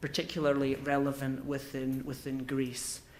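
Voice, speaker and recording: Audible room echo carries a man's voice in a Scottish accent. He speaks at a moderate pace with a fairly high pitch. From Scotland. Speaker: business consultant. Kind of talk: conference speech. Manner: halting.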